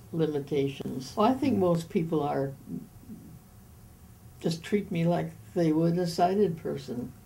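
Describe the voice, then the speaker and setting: A woman with a fairly low pitch and a dark, mellow tone speaks at a fairly slow pace, with vocal fry. Her intonation is lively, broken by long, frequent pauses. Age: 80s+. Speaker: retired. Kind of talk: interview answer.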